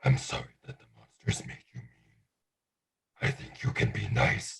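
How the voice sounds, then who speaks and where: A man adopts a put-on character voice, keeping a medium pitch and a moderate pace. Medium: stage play. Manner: broken, simple speech.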